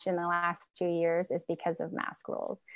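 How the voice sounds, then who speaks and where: A woman speaks in a normal speaking voice at a moderate pace, with a medium pitch and an American accent. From Northern California. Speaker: homeschooling mother and advocate. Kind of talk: casual interview conversation. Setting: remote call from Washington state.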